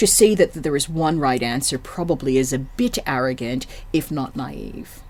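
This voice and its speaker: A woman with an American accent speaks at a moderate pace, her very deep, low pitch carried by lively intonation. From United States. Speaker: general manager of a development centre. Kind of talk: podcast interview.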